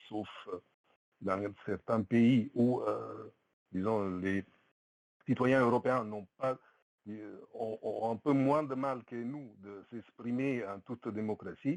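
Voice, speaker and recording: Very slow and broken by long, frequent pauses, a man's speech shows big swings in loudness and ordinary pitch variation. The sound is dry and close, with no echo. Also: medium pitch for a man. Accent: Italian. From Italy. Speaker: participant in an online community discussion. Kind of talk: testimony. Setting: voice chat on Discord. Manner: halting, many hesitations.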